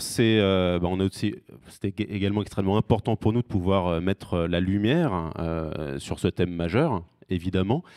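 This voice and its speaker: This man has a very deep, low pitch with ordinary variation. His pace is moderate. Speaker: recruitment firm representative. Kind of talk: award ceremony speech. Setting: stage with audience. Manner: hesitant, many fillers.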